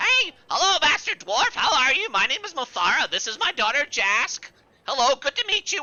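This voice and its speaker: Pitched high and swinging very widely up and down, the put-on character voice moves at a moderate pace. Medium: actual play. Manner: confused, repetitive, cheerful.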